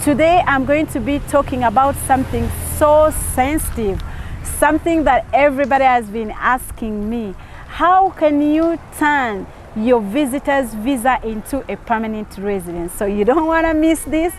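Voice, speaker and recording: A woman with a high pitch is heard over noticeable background noise. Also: lively intonation, moderate pace. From Uganda. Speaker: YouTube visa advice host. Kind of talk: tutorial. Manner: animated.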